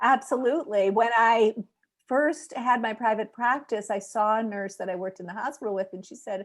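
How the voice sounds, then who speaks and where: A woman speaks at a fairly quick pace with a fairly high pitch and ordinary pitch variation, in a plain, everyday voice. The background is quiet. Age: 50s. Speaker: nurse and health coach. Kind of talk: interview.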